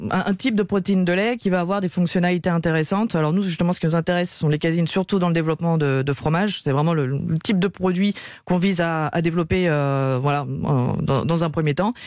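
Over a quiet background, a woman talks at a fairly quick pace in a fairly low pitch, with ordinary pitch variation and very even loudness. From Lyon region, countryside of the Ain. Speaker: start-up co-founder. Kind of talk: radio interview. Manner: halting, many fillers.

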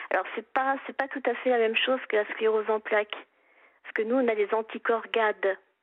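A woman's fairly high voice, flat and monotone, at a moderate pace. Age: 50s. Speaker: caller with rare illness. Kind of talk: phone-in testimony.

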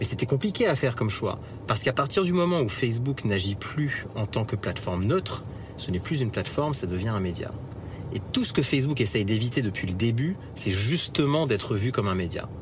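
The speaker moves at a fairly quick pace with lively intonation. Noticeable background noise is present. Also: man, medium pitch for a man. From France. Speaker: tech entrepreneur. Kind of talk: interview. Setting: in a car.

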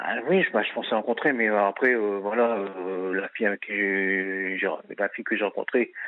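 Speaking at a very slow pace, a man keeps his fairly low voice on a fairly even intonation. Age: 30s. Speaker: radio caller. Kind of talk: phone-in testimony. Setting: phone call. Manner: halting.

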